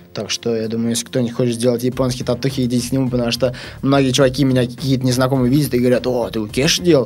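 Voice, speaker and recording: At a very fast pace, a man speaks at a medium pitch with monotone, flat intonation. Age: 20s. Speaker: BMX rider. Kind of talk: casual chat.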